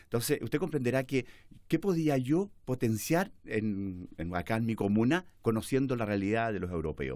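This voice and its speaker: At a moderate pace, the speaker's pitch swings very widely over a quiet background. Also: man. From central Chile, Chimbarongo, Colchagua; Chile. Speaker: politician; guest. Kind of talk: interview. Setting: studio. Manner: halting. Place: studio. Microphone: studio mic.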